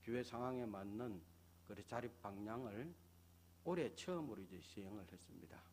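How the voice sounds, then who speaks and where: With lively intonation and a fairly low pitch, a man talks at a moderate pace amid audible room echo. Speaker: pastor. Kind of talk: sermon.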